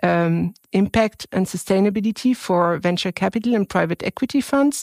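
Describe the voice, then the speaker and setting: On a very clean recording with a silent background, a woman with a French accent speaks at a medium pitch with ordinary pitch variation, the sound dry and close with no echo. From France. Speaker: venture capital fund manager. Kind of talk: interview. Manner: halting.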